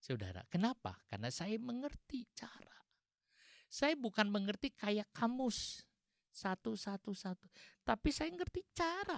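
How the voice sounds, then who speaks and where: At a fairly slow pace, a man with a high pitch makes very wide pitch swings, recorded with a dry, close sound and no echo. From West Java (Sundanese). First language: Sundanese (speaking Indonesian). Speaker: pastor. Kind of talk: sermon.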